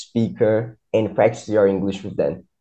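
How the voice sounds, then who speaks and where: A man with a Brazilian accent talks in a dark, mellow tone. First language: Portuguese. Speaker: English teacher. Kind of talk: casual interview. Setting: remote call over the internet.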